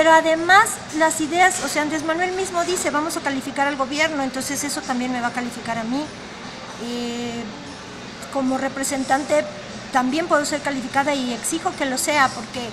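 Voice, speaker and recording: Noticeable background noise surrounds a woman with a high pitch. She talks fairly quickly, with ordinary pitch variation. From Mexico. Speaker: political candidate; candidate. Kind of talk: interview. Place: cafe. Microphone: phone near.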